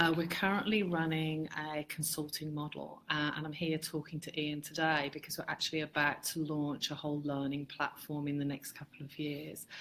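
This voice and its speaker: Speaking at a moderate pace with an English Midlands accent, a woman uses a very deep, low pitch and a monotone, flat intonation. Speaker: marketing consultant, business owner. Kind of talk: interview chat. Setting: Facebook live video. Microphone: poor quality live stream audio.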